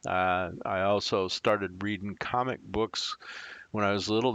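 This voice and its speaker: A man with an American accent speaks in a normal speaking voice, fairly low in pitch. His pitch varies in an ordinary way, and the background is quiet. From US Midwest (far southern Wisconsin). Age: 60s. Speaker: tech YouTuber, Air Force veteran. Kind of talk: casual chat.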